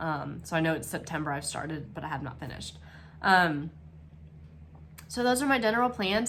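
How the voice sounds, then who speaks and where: A woman's fairly low voice has a bright, sharp tone and vocal fry. Audible room echo surrounds it. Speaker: cross stitch vlogger. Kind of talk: casual craft vlog. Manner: hesitant, many fillers.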